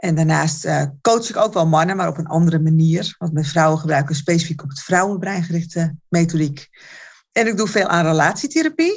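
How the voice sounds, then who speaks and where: A woman talks at a fairly quick pace with ordinary pitch variation. Her voice is somewhat breathy. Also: fairly low pitch for a woman. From Netherlands, Alkmaar. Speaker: therapist and coach. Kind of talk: casual interview chat.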